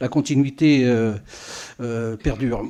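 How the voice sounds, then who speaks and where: A man's medium-pitched voice, dark and mellow in tone, against a quiet background. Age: 80s+. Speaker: local councillor. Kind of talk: farewell speech at council meeting. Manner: halting, many hesitations.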